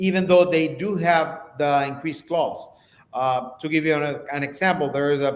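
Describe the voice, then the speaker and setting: A man speaks with a Spanish accent at a moderate pace, his pitch fairly high. His pitch varies in an ordinary way, and the room echo is audible. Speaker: real estate live stream host. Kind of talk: live stream interview.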